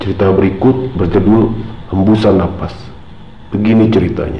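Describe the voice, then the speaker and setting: Fairly low male speech, moderately paced, with ordinary pitch movement over noticeable background noise. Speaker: horror story narrator. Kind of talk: horror story narration, first-person retelling of a personal ghost experience. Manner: conversational, casual, colloquial.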